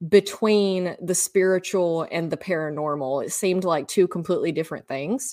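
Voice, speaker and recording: A woman in a Southern US accent, medium in pitch, with lively intonation at a fairly slow pace, on a very clean recording with a silent background. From US South. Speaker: podcaster and energy healing practitioner. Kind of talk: casual interview. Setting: podcast recording.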